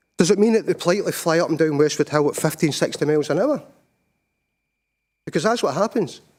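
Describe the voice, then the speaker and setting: A man with a Scottish accent, high in pitch, at a very fast pace with long, frequent pauses and ordinary pitch variation, in a very clean recording with a silent background. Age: 60s. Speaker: petitioner, local resident. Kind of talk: public committee testimony. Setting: council committee meeting. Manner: halting, repeats words.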